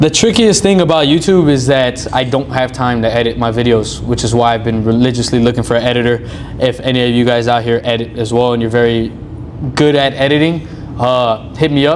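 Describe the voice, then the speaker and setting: With an American accent, a man talks at medium pitch and a fairly quick pace, with ordinary pitch variation, over noticeable background noise. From Rio Grande Valley, Texas. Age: 20s. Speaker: content creator. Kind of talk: podcast interview. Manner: energetic.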